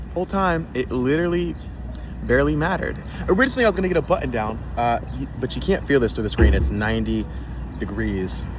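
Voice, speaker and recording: Amid noticeable background noise, a man talks at a very fast pace, yet with long, frequent pauses. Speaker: vlogger. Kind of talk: casual vlog chat. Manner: animated; loud.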